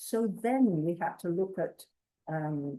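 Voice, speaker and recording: A woman with an English accent speaks in a fairly low pitch with a dark, mellow tone and ordinary pitch variation. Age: 80s+. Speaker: community activist. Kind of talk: storytelling talk. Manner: halting.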